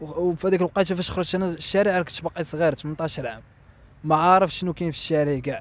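Recorded dry with no echo, a man speaks at a moderate pace and a high pitch. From Morocco. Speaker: interviewee telling life story; interviewee. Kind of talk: testimony. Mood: somber, reflective. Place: street. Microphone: handheld.

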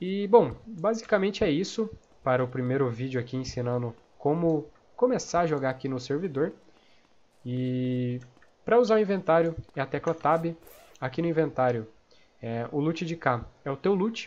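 With lively intonation and a fairly high pitch, a man talks at a moderate pace broken by long, frequent pauses. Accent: Brazilian. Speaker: gaming youtuber and game server owner. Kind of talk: tutorial. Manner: casual, filler-heavy.

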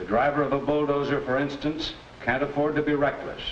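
A fairly high-pitched man speaks fairly quickly while noticeable background noise carries on. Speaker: judge. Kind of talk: vintage educational film, courtroom drama. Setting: courtroom. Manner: formal, measured, authoritative, fatherly.

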